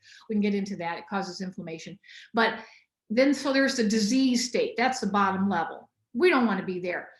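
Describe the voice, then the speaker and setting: Somewhat breathy, this voice moves at a fairly quick pace with an American accent. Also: woman, fairly high pitch for a woman, ordinary pitch variation. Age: 60s. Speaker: biochemist and nutritionist. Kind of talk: podcast interview. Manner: animated.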